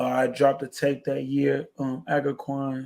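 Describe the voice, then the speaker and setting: A man with a medium-pitched voice talks at a fairly slow pace. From Chicago South Side. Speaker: hip-hop artist. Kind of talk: interview answer.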